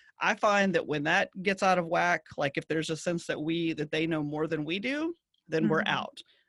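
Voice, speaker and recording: With a Southern US accent, a woman speaks at a fairly quick pace, her fairly low pitch showing ordinary variation, in a dry, close sound with no echo. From US South. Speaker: agency CEO. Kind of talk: casual interview chat.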